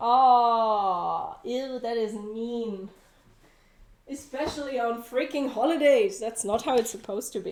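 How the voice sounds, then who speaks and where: A woman with a German accent speaks at a high pitch with ordinary pitch variation. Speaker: cooking livestreamer. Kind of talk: casual livestream cooking chat.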